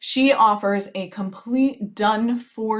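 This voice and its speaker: Using an ordinary speaking voice, a woman talks at a medium pitch with ordinary pitch variation. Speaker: business strategist podcast host. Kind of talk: solo podcast advice monologue. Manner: casual, conversational.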